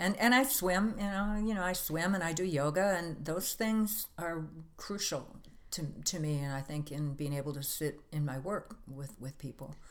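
A woman with an American accent talks at a moderate pace in a plain, everyday voice, fairly low in pitch and with lively intonation. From US Midwest, Wisconsin. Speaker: holistic health practitioner. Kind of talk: casual interview.

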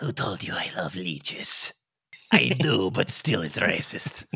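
The raspy, put-on character voice moves at a fairly slow pace with very wide pitch swings. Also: man, fairly low pitch for a man. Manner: vampiric, theatrical.

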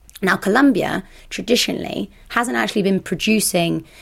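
A medium-pitched woman with vocal fry. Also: very clean recording, silent background. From France (Burgundy), Colombian father, British mother. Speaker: drinks brand ambassador. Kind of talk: interview.

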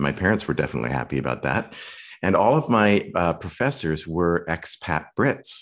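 The man's pitch is very deep and low, with vocal fry and lively intonation. This is a very clean recording with a silent background. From Western Canada (Saskatoon). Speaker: acting coach. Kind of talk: interview conversation.

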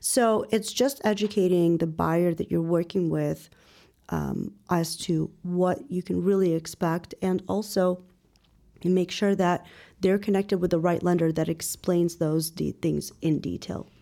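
In a very clean recording with a silent background, a woman with a Chicago accent speaks at a fairly low pitch with fairly even intonation. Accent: Chicago American English. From Chicago suburbs, US Midwest. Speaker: real estate broker. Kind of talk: interview.

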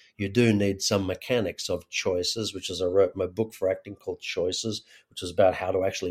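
In a fairly low, somewhat breathy voice, a man speaks with monotone, flat intonation. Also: hardly any pauses, very clean recording, silent background. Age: 40s. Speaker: actor and acting coach turned community builder. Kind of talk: interview conversation.

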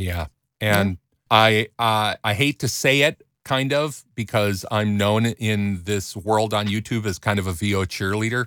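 A normal speaking voice from a man, fairly low in pitch, moves at a fairly slow pace with ordinary pitch variation. The sound is dry and close with no echo, on a very clean recording with a silent background. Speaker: podcast host and voiceover coach. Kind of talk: casual chat. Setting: studio.

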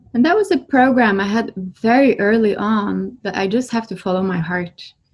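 A somewhat breathy woman in a Norwegian accent, fairly high-pitched, fairly slow, with ordinary pitch variation. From Norway. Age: 30s. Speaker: spiritual healer. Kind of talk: casual interview.

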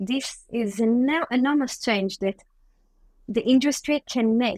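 A woman's fairly high voice with a non-native accent, fairly slow pace and ordinary pitch variation, in a dry, close sound with no echo. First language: not English. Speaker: social entrepreneur, founder. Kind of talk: interview. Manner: hesitant, with fillers.

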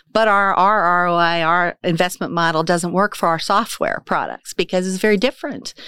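In a Midwestern American accent, a woman speaks at medium pitch and a fairly quick pace with a bright, sharp tone and fairly even intonation, in a dry, close sound with no echo on a very clean recording with a silent background. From western Kansas. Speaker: business owner and chamber board member. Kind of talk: casual interview.

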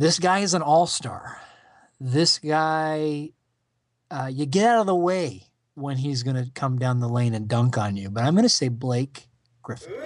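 A man with an unremarkable speaking voice, fairly high in pitch, with lively intonation at a fairly slow pace over a quiet background. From Canada. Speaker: podcast guest, sports fan. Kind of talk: casual chat.

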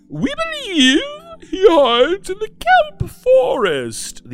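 A put-on character voice goes extremely high in pitch. It moves at a very slow pace. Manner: stately, gentle, formal.

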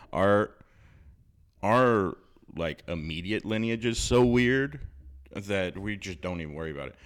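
A man with an American accent and fairly low pitch speaks fairly slowly with lively intonation and long, frequent pauses. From US South, South Louisiana. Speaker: podcast co-host. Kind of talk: casual chat. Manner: soft-spoken.

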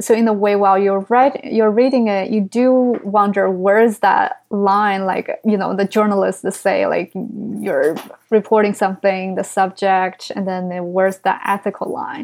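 A woman speaks with a Chinese accent. Her intonation stays fairly even. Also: medium pitch for a woman, moderate pace. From China. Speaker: writer. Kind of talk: casual interview.

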